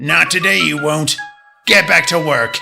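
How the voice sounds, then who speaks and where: A man does a put-on character voice, raspy and fairly high in pitch, with lively intonation. He keeps a moderate pace over faint music in the background. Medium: audio drama. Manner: brusque, folksy.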